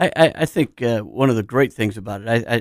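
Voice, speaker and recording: In an ordinary speaking voice at a medium pitch, a man talks at a fairly quick pace with ordinary pitch variation, the sound dry and close with no echo on a very clean recording with a silent background. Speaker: businessman and football referee. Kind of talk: casual radio interview chat. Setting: radio studio.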